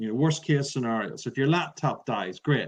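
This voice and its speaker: A man with an Irish accent at a fairly quick pace, his intonation fairly even. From Ireland. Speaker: public speaking trainer. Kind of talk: interview. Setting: podcast recording.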